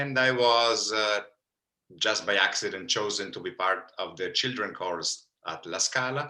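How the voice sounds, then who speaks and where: This man's voice has a bright, sharp tone and a fairly low pitch. He speaks at a moderate pace. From Italy, Milan. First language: Italian. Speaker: opera bass singer. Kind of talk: interview.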